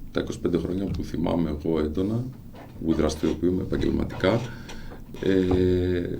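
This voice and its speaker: A man talks with a very deep, low pitch and normal pitch movement. Room echo can be heard around him. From Greece, Xanthi (Thrace). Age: 50s. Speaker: local council candidate, businessman. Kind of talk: radio interview. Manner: hesitant, frequent fillers.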